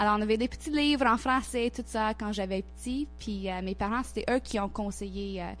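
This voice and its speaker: A woman's voice at a moderate pace with hardly any pauses, music playing in the background. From Nova Scotia, Canada (Halifax). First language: English (speaking French). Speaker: intercultural organization worker. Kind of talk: radio interview. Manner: halting, many repetitions and hesitations.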